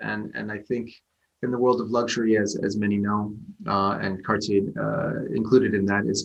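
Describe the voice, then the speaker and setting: Here a man speaks with an American accent. His pitch is medium and his pace moderate. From United States. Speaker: retail digital director. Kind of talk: interview. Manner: halting, many repetitions and fillers.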